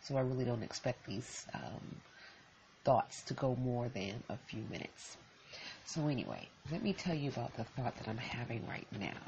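A woman's very deep, low pitch with ordinary variation, at a moderate pace. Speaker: podcaster. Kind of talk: solo podcast monologue, casual and reflective. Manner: conversational, reflective, off the cuff.

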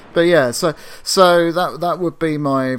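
In a very clean recording with a silent background, a man with a southern English accent speaks at a very slow pace with ordinary pitch variation. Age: 40s. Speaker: podcast co-host. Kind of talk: casual chat.

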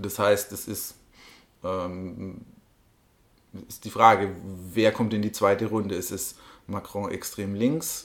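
A man's fairly low voice at a very slow pace, with fairly even intonation, long and frequent pauses, and big swings in loudness. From Germany, Bavaria. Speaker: politician, party co-chair. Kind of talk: interview. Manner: halting.

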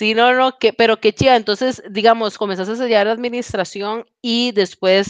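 Recorded dry and close with no echo against a quiet background, a woman talks at a moderate pace with fairly even intonation. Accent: Costa Rican. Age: 20s. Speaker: podcast host. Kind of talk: casual chat. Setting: video call.

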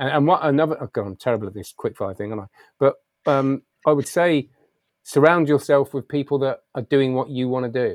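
Recorded with a dry, close sound and no echo, a man with an ordinary speaking voice moves at a fairly quick pace in a fairly high pitch with ordinary pitch variation. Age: 40s. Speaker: magician and public speaker. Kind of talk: interview.

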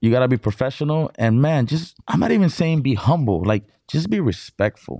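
A man speaks at a medium pitch with very wide pitch swings and a dark, mellow tone. The sound is dry and close with no echo, on a very clean recording with a silent background. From Imperial Valley, California (born in Mexicali, Mexico). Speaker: DJ. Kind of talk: casual interview.

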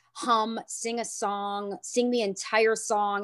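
With a plain, everyday voice, a woman speaks at a medium pitch and keeps her intonation fairly even. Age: 30s. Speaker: yoga studio owner and trauma educator. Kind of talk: interview.

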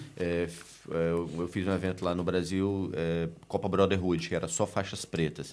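A man with very deep, low pitch, monotone, flat intonation and a fairly slow pace. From Recife, northeast Brazil. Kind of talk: casual chat.

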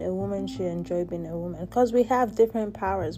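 The voice is in an American accent. It belongs to a woman. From Nigeria. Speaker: podcast host. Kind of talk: solo monologue podcast. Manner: casual, with frequent filler words.

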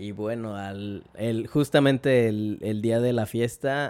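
A man's fairly low-pitched voice at a very slow pace, with fairly even intonation. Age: 20s. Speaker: fashion designer. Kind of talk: casual chat.

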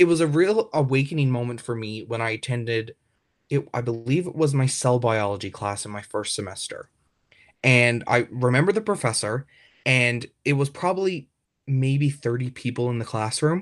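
A man speaks at a medium pitch. He has a Newfoundland accent. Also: moderate pace, very clean recording, silent background. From rural Newfoundland, Canada. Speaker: university student. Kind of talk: interview. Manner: hesitant, with fillers and repetitions.

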